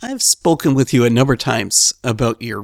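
On a very clean recording with a silent background, a man speaks in a normal speaking voice at a medium pitch. His moderate pace comes through in a dry, close sound with no echo. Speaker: podcast host. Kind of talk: interview.

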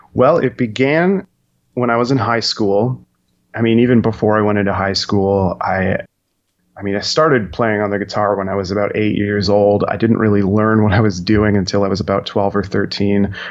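A man with a plain, everyday voice, fairly low pitch, fairly even intonation and a moderate pace. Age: 30s. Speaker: rock band singer and songwriter. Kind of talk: interview.

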